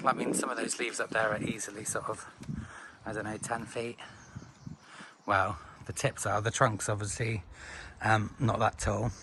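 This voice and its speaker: In a British accent, the speech moves at a moderate pace with flat, monotone intonation and long, frequent pauses. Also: man. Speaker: tropical gardening hobbyist. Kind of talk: casual talk to camera. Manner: casual, hesitant with fillers.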